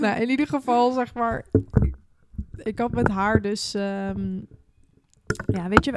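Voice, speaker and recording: Here a woman speaks at a very slow pace. Long pauses come often. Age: 20s. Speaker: podcast host. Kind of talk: casual chat.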